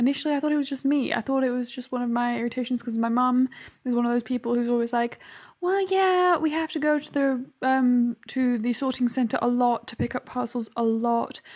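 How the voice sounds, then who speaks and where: With a British accent, a woman talks at a fairly quick pace, her high pitch showing ordinary pitch variation. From UK. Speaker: youtuber. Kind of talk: casual chat. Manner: hesitant fillers.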